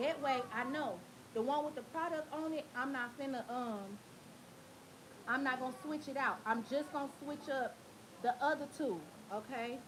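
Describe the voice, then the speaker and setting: Loud and animated, a woman speaks with lively intonation. Her pitch is high and her pace moderate. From Tennessee. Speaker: hair braider. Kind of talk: livestream tutorial. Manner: casual, animated.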